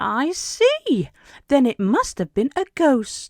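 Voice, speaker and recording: This put-on character voice is high-pitched and very slow. The recording is very clean with a silent background. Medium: read story.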